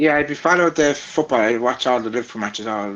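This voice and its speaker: A man with a strong Irish Midlands accent talks at a fairly quick pace in a medium pitch with ordinary pitch variation. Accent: strong Laois. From Ireland, County Laois. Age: 20s. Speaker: vlogger and content creator. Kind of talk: casual interview chat. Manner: halting, many fillers.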